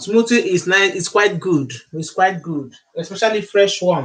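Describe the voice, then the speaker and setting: A man speaks with a Nigerian accent and lively intonation. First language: Igbo. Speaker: YouTuber, Igbo language teacher. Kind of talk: live stream cooking demo. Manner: repetitive.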